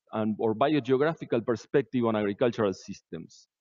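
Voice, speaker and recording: Fairly quick talking from a man, with quiet all around. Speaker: conference presenter. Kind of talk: lecture. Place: hall.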